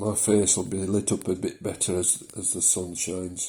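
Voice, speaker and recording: This man has a fairly low pitch and a dark, mellow tone that is somewhat breathy. He speaks with a Yorkshire accent. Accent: moderated Yorkshire. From South Yorkshire, England. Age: 60s. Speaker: vlogger with prostate condition. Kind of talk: personal video diary. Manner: hesitant, many fillers.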